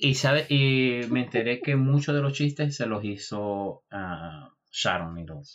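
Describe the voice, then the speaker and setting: A man talks at a very slow pace with hardly any pauses. His medium-pitched voice has lively intonation. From Venezuela, Maracaibo. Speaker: podcast co-host. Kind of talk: casual chat.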